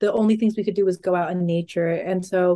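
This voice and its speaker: Very fast speech in a dark, mellow tone, ordinary pitch variation, over a quiet background. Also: woman. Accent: American. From California, Monterey Bay. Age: 20s. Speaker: hiker and podcast intern. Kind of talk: casual interview.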